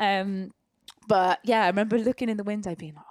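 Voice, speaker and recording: The speaker has an East of England accent and a moderate pace. The sound is dry and close, with no echo. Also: woman. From Peterborough, eastern England. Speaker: professional dancer. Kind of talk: casual chat. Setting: living room at home.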